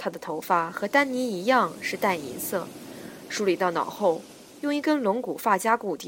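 Her tone is bright and sharp, at a medium pitch with very wide pitch swings. The woman speaks at a fairly slow pace. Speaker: audiobook narrator. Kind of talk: reading aloud. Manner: animated.

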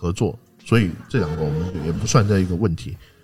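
In a very deep, low voice that is somewhat breathy, a man speaks with lively intonation. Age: 40s. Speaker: basketball writer and podcast host. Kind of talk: casual chat.

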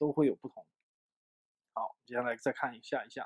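In a dry, close sound with no echo, a man speaks in an animated tone. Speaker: English teacher. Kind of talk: lecture.

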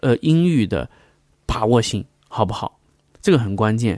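In a very clean recording with a silent background, a man talks at a fairly quick pace, his sound dry and close with no echo. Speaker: podcast host discussing recording gear. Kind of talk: casual monologue tutorial. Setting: home studio, condenser mic with pop filter. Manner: halting, many fillers and repeated words.

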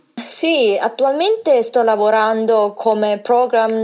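A woman's fairly high voice with a Chinese accent, at a very slow pace with lively intonation. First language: Chinese (speaking Italian). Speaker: former table tennis champion, program manager. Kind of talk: phone interview. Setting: phone call. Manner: halting.

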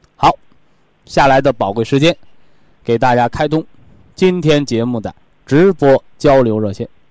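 A man's medium-pitched voice at a fairly slow pace, with ordinary pitch variation, long and frequent pauses, and a dry, close sound with no echo. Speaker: health lecturer. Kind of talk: radio health talk. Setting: studio. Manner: animated.

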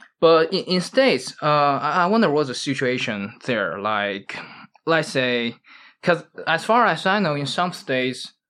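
In a Chinese accent, a man speaks at a fairly slow pace with a fairly high pitch and a bright, sharp tone. His pitch swings very widely, and the recording is very clean with a silent background. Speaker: podcast host. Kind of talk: casual chat. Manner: halting.

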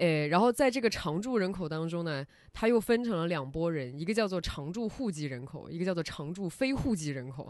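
The tone is animated, at a fairly quick pace. There are hardly any pauses. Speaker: podcast host. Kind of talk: casual interview chat. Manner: animated, laughs often.

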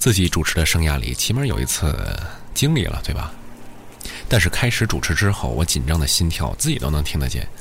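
A man's very deep, low voice at a fairly quick pace, very wide pitch swings, audible room echo and noticeable background noise. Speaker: late-night radio DJ. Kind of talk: late-night radio monologue. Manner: fluent; soft-spoken.

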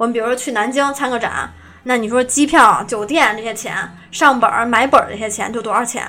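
Someone speaks at a fairly quick pace with fairly even intonation while music plays in the background. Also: woman, fairly high pitch for a woman. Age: young. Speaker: script-murder game shop owner. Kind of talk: casual interview chat.

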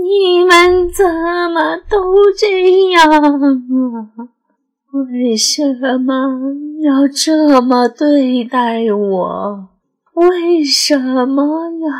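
A woman puts on a character voice at a high pitch. She speaks at a very slow pace. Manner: sobbing, pleading.

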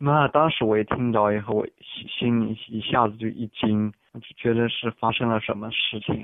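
A man speaks in an unremarkable speaking voice, medium in pitch. His intonation stays fairly even, with hardly any pauses. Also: moderate pace. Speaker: international student. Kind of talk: interview. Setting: phone call.

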